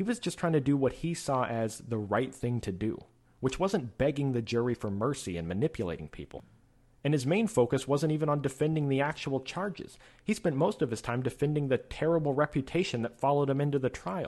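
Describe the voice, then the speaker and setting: Fairly high for a man, this voice is an unremarkable speaking voice with lively intonation. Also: fairly quick pace. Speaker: podcast host. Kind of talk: educational podcast monologue. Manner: informal, conversational.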